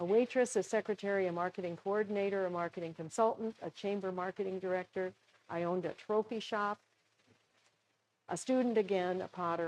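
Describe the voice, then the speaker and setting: A woman with an American accent talks at a fairly quick pace in a medium pitch, her intonation fairly even. The sound is dry and close, with no echo. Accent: Minnesota accent, comes out at times. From Minnesota, US Upper Midwest. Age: 70s. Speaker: potter and former professor. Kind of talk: workshop presentation. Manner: conversational.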